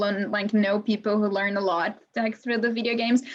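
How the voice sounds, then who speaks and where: The woman's pitch sits fairly high and her intonation is monotone and flat. She talks at a fairly quick pace. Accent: non-native. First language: not English. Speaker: museum educator hosting Q&A. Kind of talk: live online Q&A interview.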